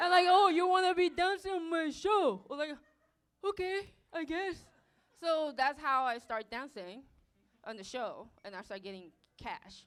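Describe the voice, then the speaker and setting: A woman with a Japanese accent speaks at an extremely high pitch and a fairly slow pace, with long, frequent pauses. Her pitch swings very widely and her loudness rises and falls sharply. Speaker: dancer. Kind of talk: live stage interview. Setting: stage with audience.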